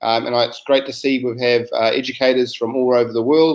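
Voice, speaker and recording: A man's medium-pitched voice with a New Zealand accent. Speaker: science educator. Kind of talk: webinar presentation. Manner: hesitant, many fillers.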